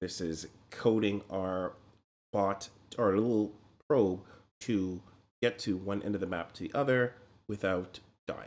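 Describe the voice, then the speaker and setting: Pausing long and often, a man with a fairly low pitch speaks with ordinary pitch variation. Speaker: programming livestreamer, bot developer. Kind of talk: live coding stream. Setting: home livestream at night. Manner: keeping voice down, quieter than usual.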